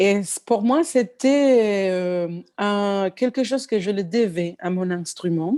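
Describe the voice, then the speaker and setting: A woman speaks at a very slow pace with a Spanish accent. Her tone is dark and mellow. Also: medium pitch for a woman, lively intonation, hardly any pauses. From Cuba. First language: Spanish (speaking French). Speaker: pianist and singer. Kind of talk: interview. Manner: halting, many fillers and restarts.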